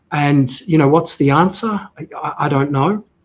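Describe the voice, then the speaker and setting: With a New Zealand accent, a man speaks at a fairly high pitch with ordinary pitch variation. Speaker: healthcare tech CEO, former military officer. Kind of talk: interview conversation.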